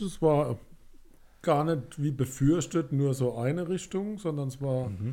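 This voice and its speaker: Speaking very slowly, a man uses a fairly high pitch with a dark, mellow tone. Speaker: music podcast co-host. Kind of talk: casual chat.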